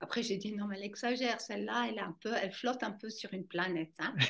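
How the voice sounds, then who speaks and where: A woman speaks with a German accent. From German-speaking Switzerland. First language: German (speaking French). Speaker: fascia movement trainer. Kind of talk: interview.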